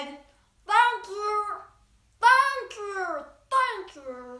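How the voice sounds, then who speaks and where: This is a put-on character voice, squeaky and extremely high. There is a slight echo. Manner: polite, grateful.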